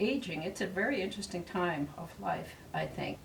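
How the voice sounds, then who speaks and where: A woman speaks over noticeable background noise. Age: 80s+. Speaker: retired resident of senior cooperative. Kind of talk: interview testimony. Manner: reflective, unhurried; halting with fillers.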